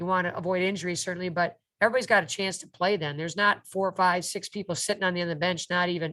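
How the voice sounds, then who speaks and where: Against a quiet background, a woman talks very fast with a fairly low pitch and a bright, sharp tone. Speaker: college basketball coach. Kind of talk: interview. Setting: video call. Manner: animated.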